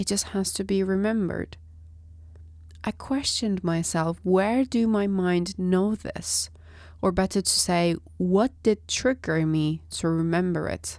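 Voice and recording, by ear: Slow and nasal, a woman speaks with a fairly low pitch, ordinary pitch variation and a slightly mellow tone.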